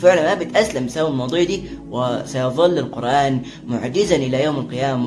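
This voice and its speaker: Recorded with audible room echo and noticeable background noise, a man speaks in an Egyptian accent. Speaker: religious YouTuber. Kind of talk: casual religious explainer. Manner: fast; casual with many filler sounds.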